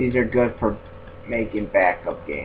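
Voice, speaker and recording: A man mumbles at a medium pitch and a moderate pace. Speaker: gaming YouTuber. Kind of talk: casual video tutorial monologue. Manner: halting, repetitive; mumbling.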